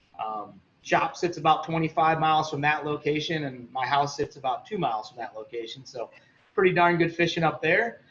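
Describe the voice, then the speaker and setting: A man with a normal speaking voice talks at a fairly high pitch and a fairly quick pace. His pitch varies in an ordinary way, while his loudness swings widely. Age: 30s. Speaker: fishing shop owner and guide. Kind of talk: casual interview.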